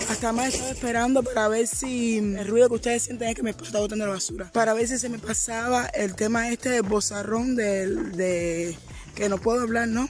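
Over faint background music, a woman talks at a moderate pace with ordinary pitch variation and a dry sound with no echo. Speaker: vlogger. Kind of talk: casual vlog chat. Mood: cheerful, joking. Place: street. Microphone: phone near.

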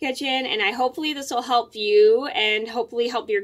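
It is quiet behind the speech, which goes at a moderate pace. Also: woman. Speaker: vlogger. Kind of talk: casual vlog chat. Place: home room. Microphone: phone near.

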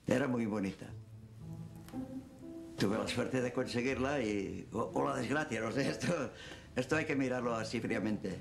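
Clear music runs behind a man who speaks at a moderate pace with ordinary pitch variation and long, frequent pauses. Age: 80s+. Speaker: elderly witness recalling his life. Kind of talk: interview answer. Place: home room.

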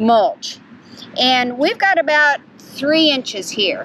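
A woman talks at a very slow pace with ordinary pitch variation. The sound is dry with no echo, with light background noise. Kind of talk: tutorial. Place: garden.

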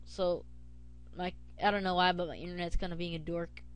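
A woman's voice over noticeable background noise. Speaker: video tutorial creator. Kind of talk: tutorial. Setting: screen recording at home. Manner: casual, conversational, with filler words.

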